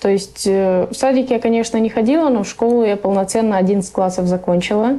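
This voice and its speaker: The voice has a dark, mellow tone, moving at a moderate pace with ordinary pitch variation and very even loudness. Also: woman, fairly high pitch for a woman. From Russia, raised by Afghan refugee parents. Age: 20s. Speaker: refugee. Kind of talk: interview.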